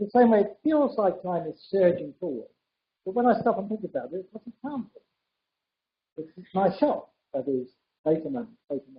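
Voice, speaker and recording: This man talks at a fairly quick pace with a high pitch. His pitch swings very widely. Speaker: physicist. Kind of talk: public dialogue. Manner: fast.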